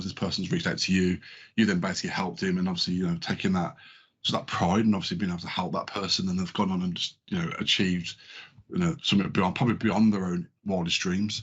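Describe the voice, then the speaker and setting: With a southern English accent, a man talks at a very fast pace in a very deep, low voice with fairly even intonation. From London. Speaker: podcast co-host. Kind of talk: podcast interview.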